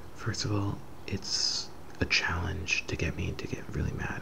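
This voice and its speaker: A soft-spoken man talks in a relaxed tone with fairly even intonation. Noticeable background noise can be heard. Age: 20s. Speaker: ASMR creator. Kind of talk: casual softly spoken Q&A to camera. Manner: soft-spoken, relaxed.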